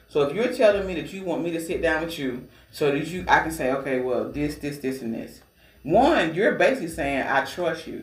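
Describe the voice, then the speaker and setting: Against noticeable background noise, a man with an American accent talks at a fairly quick pace, his fairly high pitch carrying lively intonation. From Georgia, US. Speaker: radio DJ and awards organizer. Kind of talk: casual interview chat.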